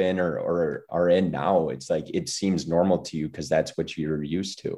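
Over a quiet background, a man with a very deep, low pitch and a dark, mellow tone talks at a fairly quick pace with fairly even intonation. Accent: Midwestern. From US Midwest, small-town Wisconsin. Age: 20s. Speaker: podcast guest. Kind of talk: casual interview chat.

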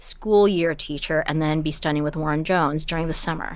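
A woman talks in an ordinary speaking voice, fairly low in pitch and with fairly even intonation. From Canada, Toronto. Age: 40s. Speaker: opera prompter and pianist. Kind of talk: interview conversation.

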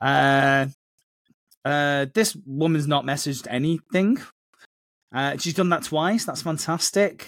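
Speaking at a very slow pace with long, frequent pauses, a man holds a fairly high pitch and ordinary pitch variation. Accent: northern English. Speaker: podcast co-host.

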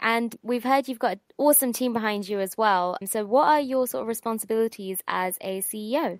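At a fairly quick pace, a woman with an ordinary speaking voice talks in a fairly high pitch with ordinary pitch variation, recorded very cleanly against a silent background with a dry, close sound and no echo. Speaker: accelerator associate, co-interviewer. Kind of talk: interview.

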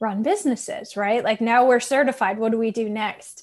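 A woman with an ordinary speaking voice talks at a fairly high pitch, using ordinary pitch variation. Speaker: life coach. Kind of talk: casual chat.

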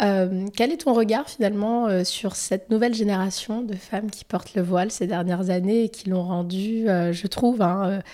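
In a very clean recording with a silent background, a woman with a dark, mellow tone and medium pitch talks fairly slowly with fairly even intonation. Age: 30s. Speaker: podcast host. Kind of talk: interview.

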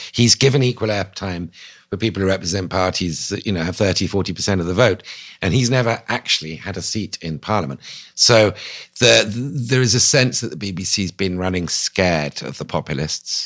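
In a British RP accent, a man with a fairly low voice talks at a fairly quick pace with lively intonation. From England. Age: 50s. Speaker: newspaper columnist and author. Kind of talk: interview.

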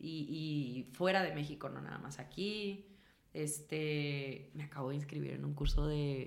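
A woman's very deep, low voice at a fairly slow pace, with fairly even intonation and audible room echo. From northern Mexico, Chihuahua. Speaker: actress and singer. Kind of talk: casual chat.

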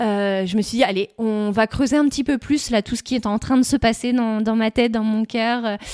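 A woman speaks at a moderate pace with fairly even intonation and hardly any pauses. The sound is dry and close, with no echo. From northern France, Nord. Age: 30s. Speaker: shop owner. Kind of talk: interview. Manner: hesitant, many fillers.

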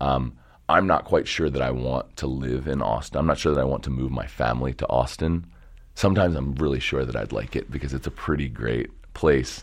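Vocal fry runs through this American accent. The pace is fairly quick. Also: man, very deep, low pitch for a man, ordinary pitch variation. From Baltimore area, Maryland (Dundalk). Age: 30s. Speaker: photo booth company co-founder. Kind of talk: casual interview.

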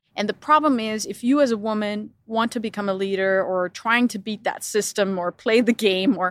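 A woman with a Danish accent speaks at a moderate pace with fairly high pitch and ordinary pitch variation. The sound is dry and close with no echo, on a very clean recording with a silent background. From Denmark. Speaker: business executive. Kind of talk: interview.

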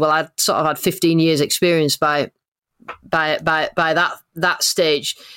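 In a very clean recording with a silent background, a woman talks at a fairly slow pace. Her pitch is fairly low and her intonation monotone and flat. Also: dry, close sound with no echo. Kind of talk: interview.

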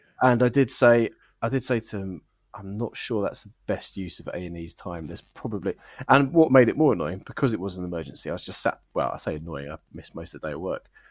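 Speaking at a very fast pace, a man with a fairly low pitch uses lively intonation and big swings in loudness. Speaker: podcast host. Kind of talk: casual banter, comedy review show.

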